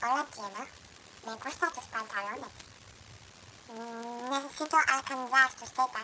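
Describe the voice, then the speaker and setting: In a put-on character voice that sounds female and high-pitched, the speaker goes at a moderate pace with long, frequent pauses over clear background noise. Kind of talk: casual webcam chat, joking. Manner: comedic, mocking. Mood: playful, joking.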